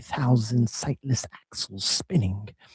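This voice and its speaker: Somewhat breathy, a man talks with lively intonation and a dark, mellow tone in a dry, close sound with no echo. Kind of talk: dramatic poetry reading.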